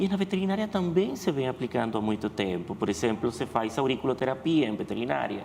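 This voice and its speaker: With a Spanish accent, a man speaks very fast at a medium pitch, his pitch swinging very widely. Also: hardly any pauses. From Venezuela. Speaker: veterinarian. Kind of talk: TV interview.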